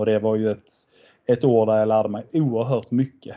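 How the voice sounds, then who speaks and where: Over a quiet background, a man with a dark, mellow tone and fairly low pitch talks at a moderate pace in a monotone, flat intonation. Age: 30s. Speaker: floorball coach. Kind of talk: casual interview.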